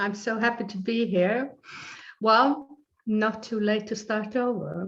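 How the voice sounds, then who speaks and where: A woman with a somewhat breathy, fairly high-pitched voice speaks at a very slow pace with fairly even intonation. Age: 70s. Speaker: life coach and author. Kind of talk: interview.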